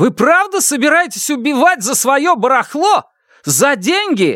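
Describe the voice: A man's put-on character voice, extremely high-pitched, bright and sharp, with big pitch swings, a fairly slow pace and a very clean recording over a silent background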